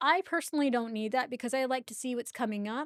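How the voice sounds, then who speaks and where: This woman has a high-pitched voice, recorded dry and close with no echo. The recording is very clean, with a silent background. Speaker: tech tutorial youtuber. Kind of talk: tutorial. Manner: fast; casual.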